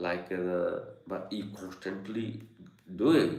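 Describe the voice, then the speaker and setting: A man's voice with audible room echo. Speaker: yoga and meditation teacher. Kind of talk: live online Q&A talk. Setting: studio with Zoom and YouTube live stream. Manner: halting, many fillers.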